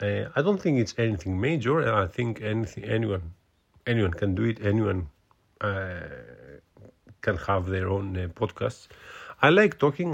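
Speaking at a moderate pace, a man with a Greek accent uses a fairly low pitch. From Greece. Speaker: podcast host. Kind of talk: casual solo monologue. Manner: halting, many fillers and repetitions.

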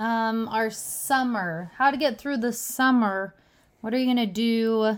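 A plain, everyday voice, a woman with an American accent, fairly even intonation and a fairly slow pace. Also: fairly high pitch for a woman. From Utah. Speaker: junior high teacher. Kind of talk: casual chat.

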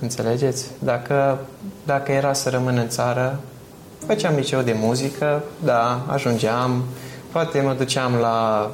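Through noticeable background noise and audible room echo, a man speaks fairly slowly at a medium pitch with fairly even intonation and very even loudness. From Romania, Bistrița-Năsăud. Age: young. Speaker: architecture student. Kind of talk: interview conversation.

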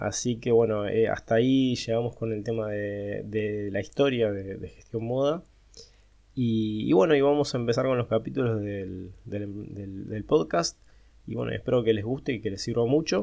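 Speaking at a moderate pace, a man uses a fairly low pitch with ordinary pitch variation and a dark, mellow tone. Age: 40s. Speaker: accountant and startup founder. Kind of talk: monologue podcast. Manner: hesitant, many fillers.

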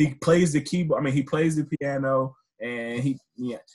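A somewhat breathy man speaks at medium pitch with ordinary pitch variation. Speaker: podcast co-host. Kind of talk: casual chat, podcast.

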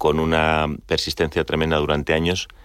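A very deep, low male voice, moderately paced. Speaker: business executive. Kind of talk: radio interview.

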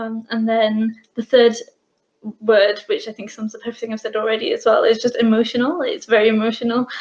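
A woman with a British accent speaks somewhat breathily at a fairly high pitch and a fairly quick pace. Her intonation is monotone and flat, while her loudness swings widely. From UK; Bangladeshi heritage family. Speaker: business owner. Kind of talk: casual interview chat.

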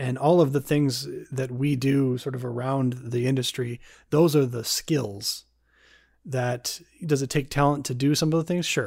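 In a very clean recording with a silent background, a man with an unremarkable speaking voice talks at a moderate pace, his medium pitch and fairly even intonation holding throughout. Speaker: podcast host and filmmaker. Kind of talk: casual interview.

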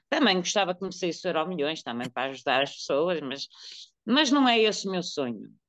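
Over a quiet background, a woman with a fairly low pitch speaks at a moderate pace, her pitch swinging very widely. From Portugal, Porto. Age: 50s. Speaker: woman living with HIV. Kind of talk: testimony.

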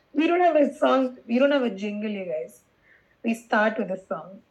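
Very wide pitch swings from a female speaker. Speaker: podcast co-host. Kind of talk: casual chat.

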